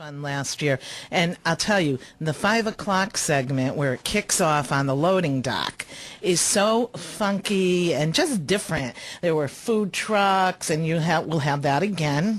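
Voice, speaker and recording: A woman speaks at a fairly slow pace with lively intonation and a fairly low pitch. Hers is an unremarkable speaking voice. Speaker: radio show host interviewing guests. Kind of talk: radio interview, host.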